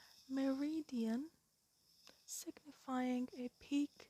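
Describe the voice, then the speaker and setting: The tone is calm. The voice is quiet. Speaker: ASMR creator. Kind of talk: ASMR explainer talk. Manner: calm, quiet.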